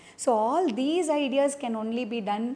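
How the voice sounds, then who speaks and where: A woman speaks in a Keralan accent at a fairly slow pace. Her tone is dark and mellow, with ordinary pitch variation. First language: Malayalam. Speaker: dancer and choreographer. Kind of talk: interview. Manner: halting, with many fillers.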